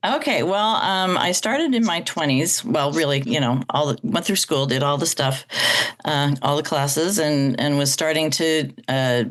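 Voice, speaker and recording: This woman's pitch is very deep and low, with lively intonation, a moderate pace, and very even loudness. Background noise is noticeable. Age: 60s. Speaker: choir director and jazz singer. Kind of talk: podcast interview.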